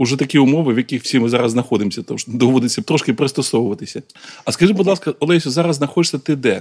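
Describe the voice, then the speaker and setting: A man at a medium pitch, very fast pace, ordinary pitch variation, and a dry, close sound with no echo. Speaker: podcast host. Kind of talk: interview. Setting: outdoors at a military training ground.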